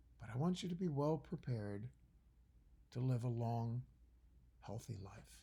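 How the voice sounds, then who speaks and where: A man speaks at a fairly slow pace and a medium pitch, somewhat breathy. His tone is dark and mellow, with lively intonation. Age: 60s. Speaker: college biology professor. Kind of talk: recorded lecture. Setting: at home by a fire. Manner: conversational, with fillers and restarts.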